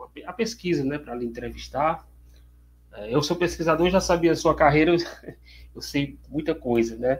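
The man's voice sits fairly high in pitch, with ordinary pitch variation. His pace is moderate. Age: 40s. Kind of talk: interview.

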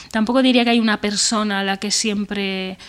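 At a fairly quick pace, a woman talks in an ordinary speaking voice with fairly even intonation. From Spain, Benavente (Zamora). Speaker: screenwriter. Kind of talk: interview. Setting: remote call from home.

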